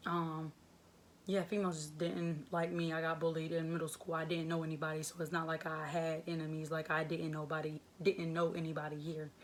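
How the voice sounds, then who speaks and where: With an American accent, a woman talks at a fairly quick pace. Her fairly low voice keeps a monotone, flat intonation. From North Carolina (Winston-Salem). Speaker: vlogger. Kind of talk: personal testimony vlog. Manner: casual, conversational.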